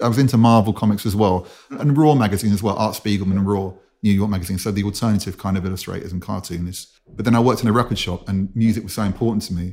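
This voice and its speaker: With a London accent and a dark, mellow tone, a man with a fairly low pitch talks at a very fast pace with fairly even intonation. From North London, England. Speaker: musician, producer and DJ. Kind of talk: interview conversation.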